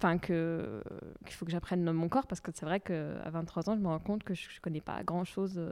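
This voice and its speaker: A woman's fairly low-pitched voice with a dark, mellow tone at a fairly quick pace. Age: 20s. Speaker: festival attendee. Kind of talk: testimony.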